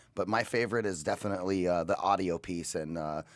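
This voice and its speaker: Recorded very cleanly with a silent background, a man with a fairly low pitch speaks at a fairly quick pace with ordinary pitch variation. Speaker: co-host, broadcast operations executive. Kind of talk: casual chat. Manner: frequent filler 'you know'.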